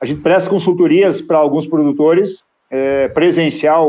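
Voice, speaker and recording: A man talks at a medium tempo in a normal speaking voice that sits rather high. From Rio Grande do Sul, Brazil. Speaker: grain broker and agribusiness consultant. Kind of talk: podcast interview.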